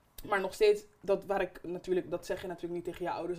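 Her pitch fairly low, a woman rattles along at a very fast pace. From Netherlands (Barendrecht) with years in Suriname. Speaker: podcast host. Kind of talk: casual chat. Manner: loud, raises voice.

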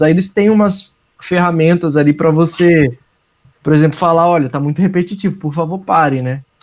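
A man with a Brazilian accent speaks at a high pitch. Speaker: advertising professional. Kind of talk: casual podcast chat.

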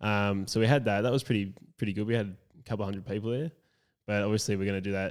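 The speaker has an Australian accent and fairly even intonation, heard in a very clean recording with a silent background. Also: man. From rural South Australia. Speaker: founder of a men's support group. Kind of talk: casual chat. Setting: recorded at the guest's home with mobile kit.

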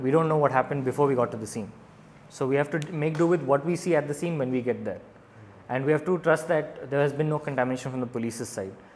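Very fast and fairly high, a man talks with ordinary pitch variation over noticeable background noise. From India. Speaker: doctor and stand-up comedian. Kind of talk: casual chat. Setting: pizza restaurant.

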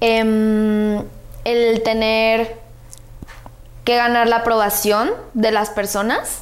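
Delivered at a very slow pace with long, frequent pauses, the voice holds a monotone, flat intonation and very even loudness amid audible room echo. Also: woman, fairly high pitch for a woman. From Guadalajara, Mexico. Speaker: social media influencer. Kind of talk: casual chat.

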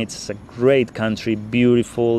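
A man with a Spanish accent at a medium pitch, moderate pace and fairly even intonation. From Spain. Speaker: podcast host and traveler. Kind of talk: casual monologue. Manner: halting, many fillers.

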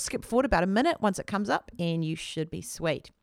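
On a very clean recording with a silent background, a woman with a New Zealand accent talks at a very fast pace. Her medium pitch carries lively intonation. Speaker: podcast host. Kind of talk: casual interview chat.

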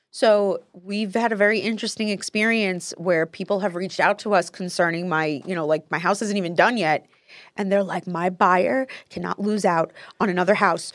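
Speaking at a moderate pace, a woman with an American accent uses a medium pitch and ordinary pitch variation. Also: very clean recording, silent background. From New Jersey (Paterson). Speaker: podcast host, real estate investor. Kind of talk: casual chat. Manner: animated.

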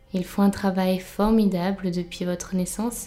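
A woman's medium-pitched, soothing, calm voice in a monotone, flat delivery, with music in the background. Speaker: meditation guide. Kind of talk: guided meditation. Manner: slow, soft, soothing, calm with long pauses.

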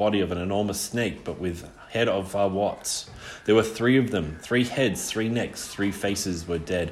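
The pitch variation is ordinary in this plain reading aloud.

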